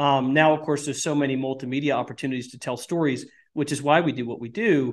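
A man at a fairly high pitch, very fast pace and fairly even intonation, quiet background. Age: 40s. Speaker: tech entrepreneur, video game company CEO. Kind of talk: podcast interview.

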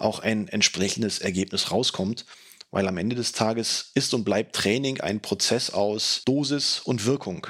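The man has a normal speaking voice at medium pitch, with ordinary pitch variation and a fairly slow pace. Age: 40s. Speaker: fitness podcaster. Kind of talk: solo podcast monologue.

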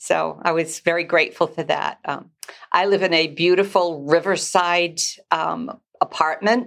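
A woman with an American accent speaks at a fairly low pitch, with vocal fry. Her pace is fairly slow, and her intonation is fairly even. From Massachusetts, Newburyport. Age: 70s. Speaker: ministry leader. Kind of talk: testimony.

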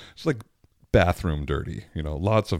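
A man on a very clean recording, silent background, dry and close with no echo. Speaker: podcast host and opera singer.

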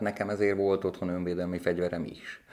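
The man's voice is very deep and low in pitch. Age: 40s. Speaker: educator living with HIV, former IT worker. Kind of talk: interview. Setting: studio. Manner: halting.

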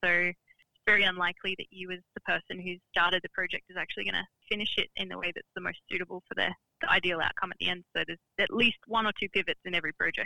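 Very fast speech with an Australian accent. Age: 30s. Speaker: business founder. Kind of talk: interview.

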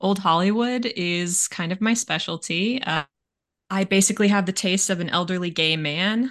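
A woman at a moderate pace and medium pitch, with ordinary pitch variation and a quiet background. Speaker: podcast co-host. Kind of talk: casual chat. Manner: talkative.

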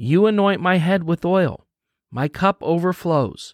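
The recording is very clean, dry and close, with a silent background and no echo. A man speaks at a fairly slow pace in a high pitch with a gentle, warm tone. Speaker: pastor. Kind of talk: guided devotional prayer with scripture reading, fervent prayer. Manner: earnest, warm, fervent and intimate in prayer; gentle, encouraging, conversational with some fillers.

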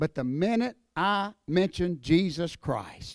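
A man with an Appalachian accent, recorded very cleanly against a silent background, with a dry, close sound and no echo. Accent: Appalachian Southern US. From North Carolina mountains. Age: 50s. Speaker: professional wrestler and evangelist. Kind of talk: testimony. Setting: church.

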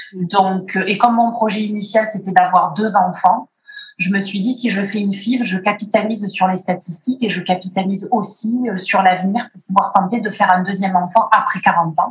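A normal speaking voice from a woman, medium in pitch, at a moderate pace with fairly even intonation and big swings in loudness. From Martinique. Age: 40s. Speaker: IVF patient. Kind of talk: testimony.

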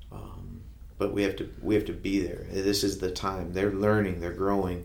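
In a US Midwestern accent, a man with a fairly low pitch and vocal fry talks at a moderate pace with fairly even intonation, with audible room echo. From Ohio, Kenton. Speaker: school superintendent. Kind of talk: interview. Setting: studio. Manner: halting, with many fillers.

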